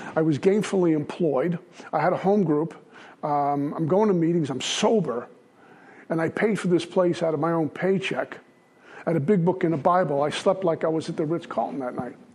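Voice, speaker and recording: A man speaks with an American accent. His pitch is high and his pace fairly quick. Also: ordinary pitch variation. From Brooklyn, New York. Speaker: AA speaker sharing recovery story. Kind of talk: recovery talk to a meeting.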